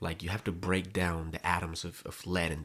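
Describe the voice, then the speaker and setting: In a Spanish accent, a man with a very deep, low pitch and a bright, sharp tone speaks at a moderate pace with fairly even intonation on a very clean recording with a silent background. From Colombia. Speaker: content creator. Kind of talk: personal vlog monologue. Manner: halting, repeats words.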